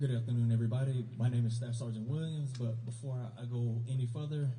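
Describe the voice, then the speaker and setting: Talking very fast in a flat monotone, a man with a dark, mellow, somewhat breathy tone is heard with audible room echo. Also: medium pitch for a man. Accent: American. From US South, South Carolina. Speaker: army recruiter. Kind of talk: award ceremony speech. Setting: school awards ceremony with audience. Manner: casual.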